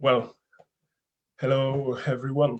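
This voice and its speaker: A man with a French accent in a flat, monotone delivery. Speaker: politician. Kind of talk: panel statement. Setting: webinar.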